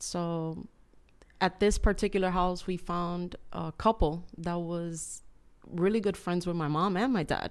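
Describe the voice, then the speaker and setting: A woman speaks in a Spanish accent at a fairly slow pace. Her intonation stays fairly even. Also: fairly low pitch for a woman. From Cuba. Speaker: churchgoer, business owner. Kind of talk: testimony.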